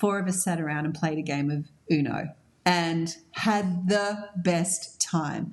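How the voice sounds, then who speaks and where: A woman's fairly low voice moves at a very slow pace while noticeable background noise fills the clip. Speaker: podcast host. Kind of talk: podcast interview. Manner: upbeat.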